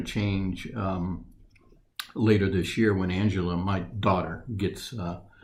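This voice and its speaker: In a room with audible echo, a man with a fairly low pitch speaks in a somewhat breathy, flat monotone. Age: 60s. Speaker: retiree interviewee. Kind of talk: interview. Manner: halting.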